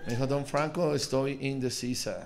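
Noticeable background noise sits behind a man speaking in an animated tone at a fairly slow pace. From Colombia, Pereira; Colombia. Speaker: stand-up comedian. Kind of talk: improvised stand-up. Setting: stage with audience. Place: stage. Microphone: handheld.

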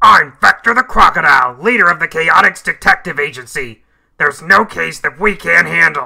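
A man puts on a character voice, pitched high. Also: moderate pace. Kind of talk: video game character dialogue.

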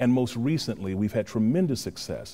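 In an American accent, a man with a dark, mellow tone talks at a fairly quick pace. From Los Angeles. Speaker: actor, producer and director. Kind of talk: interview answer. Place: stage. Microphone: lapel.

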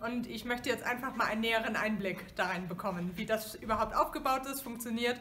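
A woman's fairly high voice, a normal speaking voice with ordinary pitch variation, at a fairly quick pace with hardly any pauses, over light background noise. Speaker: dialect course participant. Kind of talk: interview answer. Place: classroom. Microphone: camera far.

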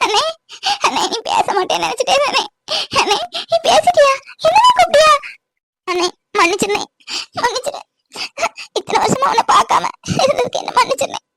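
A woman's put-on character voice, extremely high in pitch, with lively intonation, a moderate pace, and a dry, close sound with no echo. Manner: begging forgiveness.

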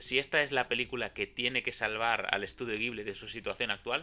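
Faint music plays behind the voice. The speaker is a man. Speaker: film reviewer. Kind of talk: film review commentary. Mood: mildly critical, relaxed. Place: home room. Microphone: handheld.

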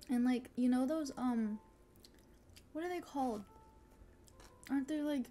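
Over light background noise, a woman with a high pitch and ordinary pitch variation talks at a moderate pace with long, frequent pauses. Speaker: vtuber streamer. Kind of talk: live mukbang eating ASMR, casual chatty talk. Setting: live stream with chat, eating food. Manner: casual, chatty, cheerful. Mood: chatty, upbeat, giggly. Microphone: studio mic.

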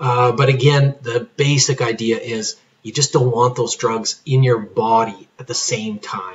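A somewhat breathy man at medium pitch, fairly slow in pace, with fairly even intonation and big swings in loudness. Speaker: pharmacist giving patient education. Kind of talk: tutorial. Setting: recorded video lesson. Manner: hesitant, many fillers.

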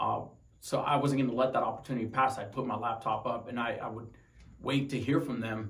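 This man talks at a fairly quick pace. His intonation stays monotone and flat. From Tucson, Arizona; Arizona. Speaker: wounded Marine veteran. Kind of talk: personal story interview. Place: home room.

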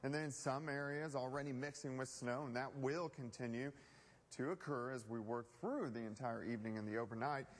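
Fairly even intonation and a fairly quick pace from a man. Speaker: television chief meteorologist. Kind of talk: TV weather forecast broadcast. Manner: conversational, on-air. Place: studio. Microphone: lapel.

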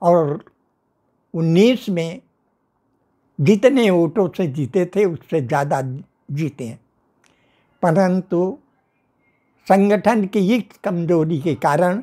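A man's high voice with a dark, mellow tone and lively intonation, very slow, with long, frequent pauses against a quiet background. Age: 90s. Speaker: veteran political worker. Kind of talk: interview. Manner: formal. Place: home room. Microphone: lapel.

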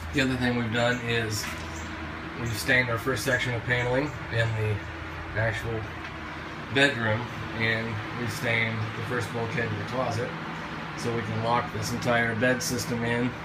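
Against loud background noise, a man talks at a moderate pace with long, frequent pauses. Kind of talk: tutorial. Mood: light, joking. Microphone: phone near.

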